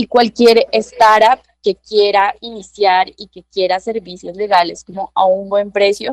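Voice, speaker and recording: This is a normal speaking voice, a woman's, at medium pitch with fairly even intonation. She talks at a fairly slow pace, and the sound is dry and close with no echo. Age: 20s. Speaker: lawyer. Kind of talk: interview.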